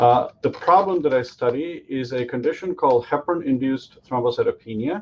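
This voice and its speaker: Barely pausing, a man talks at a fairly quick pace with ordinary pitch variation. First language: Tamil. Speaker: physician-scientist and startup founder. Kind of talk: startup pitch. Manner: hesitant, many fillers.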